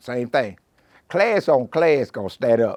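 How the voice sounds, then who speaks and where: A man with vocal fry at a moderate pace. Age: 70s. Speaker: horse farm manager. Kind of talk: interview storytelling. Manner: casual.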